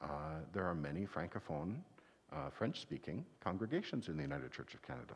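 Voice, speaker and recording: A man speaks at a moderate pace in a very deep, low voice with ordinary pitch variation. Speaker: minister. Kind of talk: children's time talk. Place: church.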